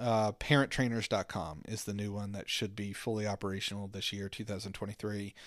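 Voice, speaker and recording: A man with an American accent speaks in a plain, everyday voice at a fairly low pitch, a moderate pace and with hardly any pauses. His intonation is fairly even, and the recording is very clean with a silent background. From southwestern Virginia, US. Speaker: parent trainer and counselor. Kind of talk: casual interview conversation.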